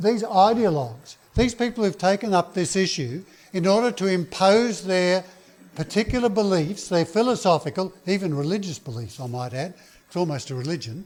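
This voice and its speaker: This man has an Australian accent and a high pitch. He talks at a moderate pace with lively intonation. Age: 70s. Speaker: political activist. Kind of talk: speech. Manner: halting.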